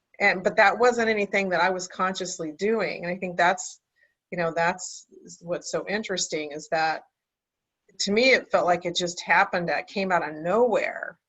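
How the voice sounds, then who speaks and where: With an ordinary speaking voice, a woman talks at medium pitch and a moderate pace, her intonation fairly even. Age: 60s. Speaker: spiritual coach. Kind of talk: casual chat.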